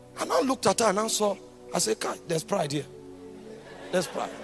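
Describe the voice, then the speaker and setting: A man with a Nigerian accent, high in pitch and lively in intonation, over music in the background. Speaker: preacher. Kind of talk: sermon.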